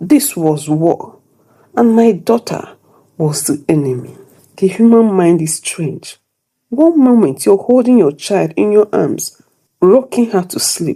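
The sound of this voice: A dark, mellow tone with a slightly husky edge carries lively intonation at a slow pace. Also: woman, medium pitch for a woman.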